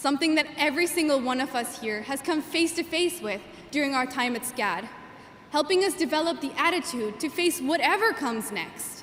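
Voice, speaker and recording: Lively intonation comes through over noticeable background noise. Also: woman, high pitch for a woman, fairly quick pace. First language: Gujarati. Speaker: graduating student valedictorian. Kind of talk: commencement speech. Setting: stage with audience. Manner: formal.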